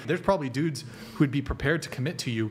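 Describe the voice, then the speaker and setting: Amid light background noise, a man talks at a very fast pace. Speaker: livestream host. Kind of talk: heated argument. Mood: assertive, lecturing. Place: studio. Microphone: studio mic.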